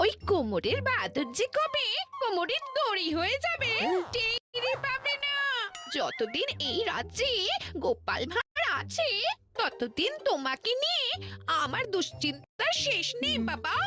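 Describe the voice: Over faint background music, a cartoonish character voice moves at a fairly slow pace with very wide pitch swings. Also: woman, extremely high pitch for a woman.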